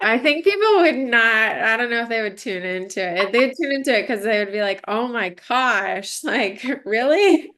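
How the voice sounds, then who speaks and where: A loud, energetic voice with a bright, sharp tone, moderate pace and hardly any pauses. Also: woman, fairly high pitch for a woman, lively intonation. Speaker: entrepreneur and mother. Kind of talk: casual interview chat. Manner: loud and energetic; halting with fillers.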